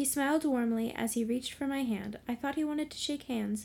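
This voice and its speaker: At a moderate pace, a woman with a high pitch and a dark, mellow tone talks with ordinary pitch variation. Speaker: ghost story reader and co-host. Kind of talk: reading aloud a ghost story.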